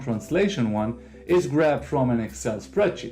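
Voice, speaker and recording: Music plays in the background as a man at medium pitch speaks with lively intonation in an Israeli accent. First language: Hebrew. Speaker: tech video creator. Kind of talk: software tutorial.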